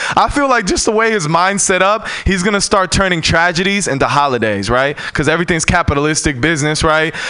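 A man's high voice at a very fast pace with hardly any pauses, lively intonation and very even loudness, over noticeable background noise. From San Francisco. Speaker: stand-up comedian. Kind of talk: stand-up. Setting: stage with audience.

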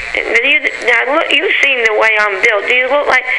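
Over noticeable background noise, a woman talks at a moderate pace in a raised, projected voice. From San Francisco. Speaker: radio host. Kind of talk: interview.

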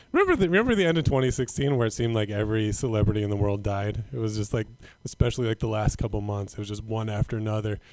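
A very fast man with an American accent, fairly low pitch and ordinary pitch variation. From Northern California. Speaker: comedian. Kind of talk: stand-up. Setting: stage with audience.

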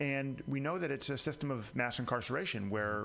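With music playing in the background, a man speaks at a moderate pace and ordinary pitch variation. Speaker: district attorney candidate. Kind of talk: radio interview. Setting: studio.

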